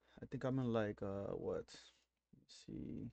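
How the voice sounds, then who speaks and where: With a Miami accent, a man talks at a moderate pace in a medium pitch, his tone dark and mellow. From Miami, Florida. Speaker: day trader. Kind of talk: casual chat.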